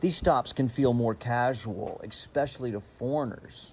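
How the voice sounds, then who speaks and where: Talking at a fairly slow pace, a man with an American accent has an unremarkable speaking voice, medium in pitch with ordinary pitch variation. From United States. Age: 60s. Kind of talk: travel vlog narration.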